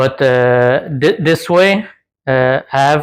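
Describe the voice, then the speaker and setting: In a Quebec accent, a man speaks with a fairly high pitch. The recording is very clean, and the background is silent. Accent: French Canadian accent in English. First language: French. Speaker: DIY off-road vehicle builder. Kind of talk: tutorial. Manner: halting.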